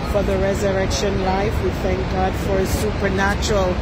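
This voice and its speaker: Against loud background noise, a woman speaks at a fairly slow pace in a dry sound with no echo. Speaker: travel vlogger. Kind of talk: spoken prayer in a casual vlog. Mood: joyful, praising. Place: waterside. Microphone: phone near.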